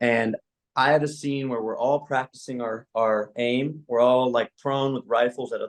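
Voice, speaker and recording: With a Spanish accent, a man speaks at a medium pitch with fairly even intonation. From US-Mexico border region. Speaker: actor. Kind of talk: panel discussion.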